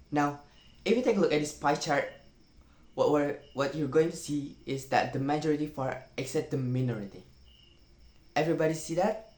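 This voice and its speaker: A man's fairly high voice with a non-native accent, ordinary pitch variation, and long, frequent pauses. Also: moderate pace. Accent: non-native English, pronunciation errors. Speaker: university student. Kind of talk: reading a parody talk script aloud.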